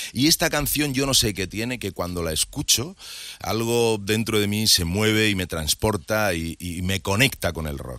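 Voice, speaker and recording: A man with a fairly low pitch and a bright, sharp tone speaks at a fairly slow pace with lively intonation. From Madrid, Spain. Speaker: TV presenter. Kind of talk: casual interview chat.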